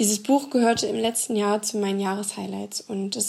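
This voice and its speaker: Here a woman speaks at medium pitch and a moderate pace. Her intonation stays monotone and flat. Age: 20s. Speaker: book blogger. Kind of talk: prerecorded scripted book presentation.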